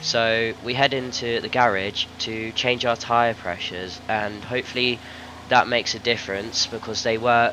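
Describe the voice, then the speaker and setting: A man at a moderate pace and fairly low pitch, amid noticeable background noise. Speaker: sim racing gamer. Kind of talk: gameplay commentary voice-over. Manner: casual, filler-heavy.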